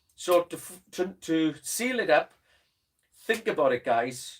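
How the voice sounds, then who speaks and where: A man with a Welsh accent talks at a fairly slow pace. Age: old. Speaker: drum teacher. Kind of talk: casual chat. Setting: studio.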